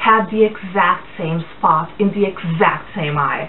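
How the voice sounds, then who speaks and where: Noticeable background noise accompanies a woman speaking very slowly. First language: Portuguese, English and German from childhood. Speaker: blogger. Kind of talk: casual vlog talk. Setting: indoors, blinds closed. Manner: hesitant, many fillers.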